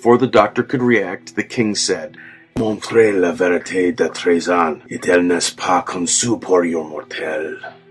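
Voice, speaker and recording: Over music in the background, the speaker goes at a fairly slow pace with ordinary pitch variation. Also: man. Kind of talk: horror story narration.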